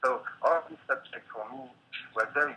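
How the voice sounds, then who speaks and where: A man speaks with a French accent. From France. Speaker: painter and installation artist. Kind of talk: interview. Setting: video call. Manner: halting. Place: home room. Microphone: video call.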